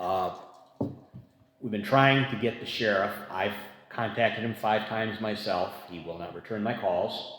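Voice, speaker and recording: Amid noticeable background noise and audible room echo, a man speaks fairly slowly with a fairly low pitch, fairly even intonation, and long, frequent pauses. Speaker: community advisory board member. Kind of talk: public meeting discussion. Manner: soft-spoken.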